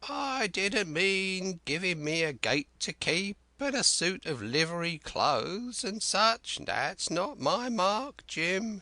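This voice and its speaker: A man uses a put-on character voice, high-pitched and fairly slow. He barely pauses, and the background is quiet. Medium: read story. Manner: rambling, excitable, folksy sailor's dialect.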